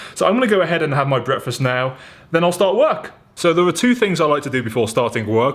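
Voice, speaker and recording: A man with a British accent speaks in an upbeat tone. His pitch swings very widely. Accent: British, drops his t's. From England. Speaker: entrepreneur and vlogger. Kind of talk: casual vlog talk to camera. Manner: chatty, upbeat.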